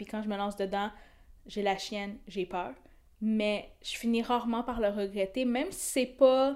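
Her fairly even intonation and fairly high pitch mark this woman's a normal speaking voice. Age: 20s. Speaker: photographer. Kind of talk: casual chat.

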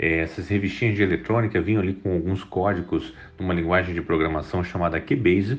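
A man speaks in a somewhat breathy voice. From Espírito Santo, Brazil (Vitória). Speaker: tech entrepreneur. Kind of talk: interview.

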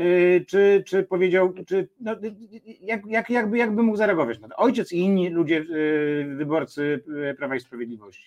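The speaker moves at a moderate pace with lively intonation. Loudness swings widely. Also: man, high pitch for a man. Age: 50s. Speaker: talk show host. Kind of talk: interview. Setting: studio.

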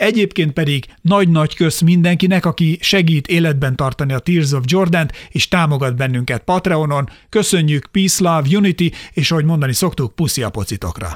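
A man with a plain, everyday voice and a fairly high pitch talks at a fairly quick pace with ordinary pitch variation and hardly any pauses. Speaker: podcast co-host. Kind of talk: show outro; casual chat about basketball.

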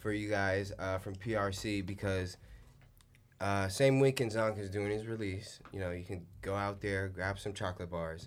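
Using an ordinary speaking voice, a man holds a fairly low pitch and fairly even intonation at a moderate pace. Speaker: podcast host. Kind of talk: casual chat. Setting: studio.

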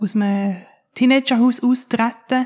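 In a very clean recording with a silent background, a woman uses a normal speaking voice with ordinary pitch variation. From Switzerland, Winterthur. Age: 30s. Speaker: social care worker and advocate for care leavers. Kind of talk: interview.

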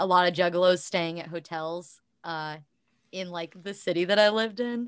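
A normal speaking voice with an American accent, its intonation fairly even. The background is quiet. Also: woman. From southeastern Ohio. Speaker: musician. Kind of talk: casual chat. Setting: video call.

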